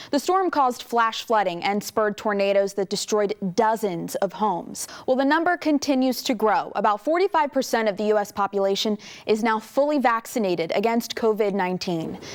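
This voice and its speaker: In a normal speaking voice, the speaker barely pauses, keeping very even loudness and lively intonation. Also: woman, fairly high pitch for a woman. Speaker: TV news anchor and reporter. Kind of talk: TV news anchor read from the studio desk.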